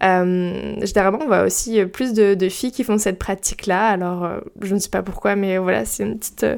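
A woman with a normal speaking voice at a moderate pace. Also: medium pitch for a woman, ordinary pitch variation. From Brittany, France. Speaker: podcast host. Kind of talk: solo casual podcast monologue. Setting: home recording at her mic.

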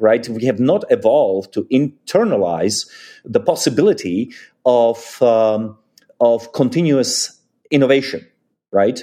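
At a fairly slow pace, a man with a Czech accent speaks at a medium pitch in a dark, mellow tone, with lively intonation. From Czechoslovakia. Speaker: think tank senior fellow and author. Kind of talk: interview discussion. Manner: halting, hesitant with fillers.

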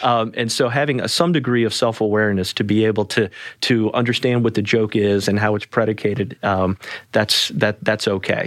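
An unremarkable speaking voice, a man with an American accent keeps a fairly low pitch, fairly even intonation and very even loudness. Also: fairly quick pace. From US South, New Orleans. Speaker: attorney. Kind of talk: podcast interview.

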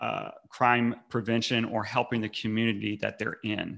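A man's bright, sharp voice with an American accent, medium in pitch at a moderate pace, on a very clean recording with a silent background. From North Carolina. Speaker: anti-fascist community organizer. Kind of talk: podcast interview.

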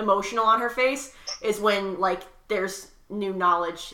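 What you hear is plain reading aloud.

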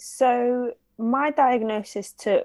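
Here a woman speaks with a London accent. The recording is very clean, with a silent background. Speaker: radio presenter and reporter. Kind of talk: interview testimony.

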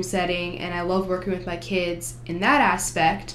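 A woman with a New Jersey accent at medium pitch, moderate pace, over noticeable background noise. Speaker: college student, education major. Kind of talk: casual interview.

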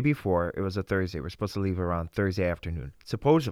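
A man with an American accent and a fairly low pitch, using an ordinary speaking voice with ordinary pitch variation. The recording is very clean, with a silent background. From Russia, then Wisconsin. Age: young. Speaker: Bible school student. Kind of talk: interview.

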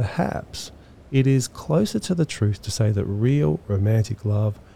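Somewhat breathy and dark, mellow in tone, a man speaks at a fairly slow pace with a medium pitch and ordinary pitch variation. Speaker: podcast host. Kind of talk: poetry analysis podcast narration.

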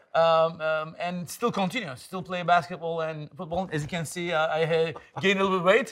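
A man's high-pitched voice with a Turkish accent, fairly even intonation and a moderate pace. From Istanbul, Turkey. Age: 50s. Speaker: tech executive. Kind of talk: casual interview. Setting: in person studio.

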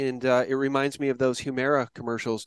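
An ordinary speaking voice at a fairly quick pace, with a quiet background and a dry, close sound with no echo. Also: man. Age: 50s. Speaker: podcast host. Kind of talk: conversational interview with ad read.

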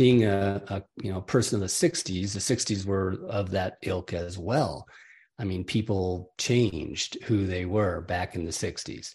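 A man's fairly low voice, somewhat breathy, at a fairly slow pace with ordinary pitch variation against a quiet background. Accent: American. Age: 70s. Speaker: author and coach. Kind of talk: casual interview chat.

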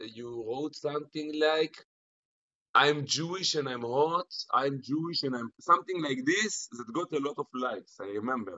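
A man speaks with an Israeli accent at a fairly slow pace. His pitch is fairly high. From Israel, Jerusalem. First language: Hebrew. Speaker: internet personality. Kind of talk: casual chat. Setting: video call.

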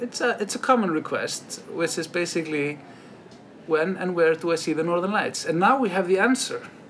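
Speaking in an Icelandic accent, a man uses a high pitch with ordinary pitch variation. Noticeable background noise runs under the recording. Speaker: travel podcast host. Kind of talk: casual interview.

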